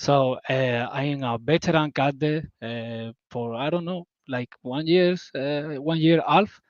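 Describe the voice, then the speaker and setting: A man with a non-native accent speaks at a very slow pace in a fairly high pitch, with ordinary pitch variation and a dry, close sound with no echo. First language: not English. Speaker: crypto community member. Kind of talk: casual livestream chat. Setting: video call livestream. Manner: halting.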